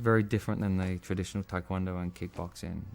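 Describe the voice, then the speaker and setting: This man has a very deep, low pitch and an English accent. He speaks at a very fast pace. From England. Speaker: martial arts film actor. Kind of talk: interview. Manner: casual, conversational with fillers.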